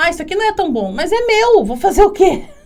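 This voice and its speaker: Loud and at a fairly quick pace, a woman speaks with very wide pitch swings over noticeable background noise. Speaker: podcast host. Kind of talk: casual interview chat.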